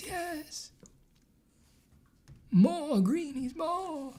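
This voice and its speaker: This is a put-on character voice. The pitch sits high. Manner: eager, begging for treats.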